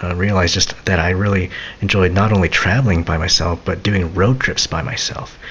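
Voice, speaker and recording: A man speaks softly in a very deep, low voice at a fairly quick pace. Noticeable background noise runs underneath. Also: fairly even intonation. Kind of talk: casual talk to camera, autobiographical rambling. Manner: soft-spoken, rambling.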